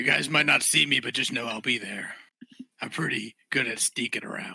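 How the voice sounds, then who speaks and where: Raspy, put-on character voice from a man, medium in pitch, at a moderate pace. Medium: actual play. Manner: wry, laid-back.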